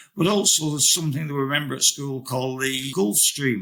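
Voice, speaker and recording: Vocal fry marks this man's fairly high-pitched voice. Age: 70s. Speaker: ocean rower. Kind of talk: interview answer.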